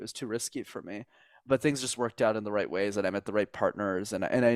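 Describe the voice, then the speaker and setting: A man talks very fast at a medium pitch. The sound is dry and close with no echo, on a very clean recording with a silent background. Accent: Montreal. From Montreal, Quebec. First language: French. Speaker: communication coach. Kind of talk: podcast interview.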